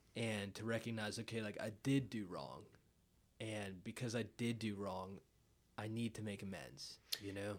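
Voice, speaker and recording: A man speaks at a moderate pace in a fairly low voice with vocal fry. His pitch varies in an ordinary way. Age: 20s. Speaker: podcast host. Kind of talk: casual chat.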